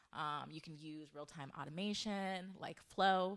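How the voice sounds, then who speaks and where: A woman with an American accent and a normal speaking voice, fairly low in pitch, with lively intonation at a moderate pace against a quiet background. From US Northeast, Delaware. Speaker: developer advocate, conference speaker; conference speaker. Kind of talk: conference talk; presentation talk. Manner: casual with many filler words. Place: meeting room. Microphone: handheld.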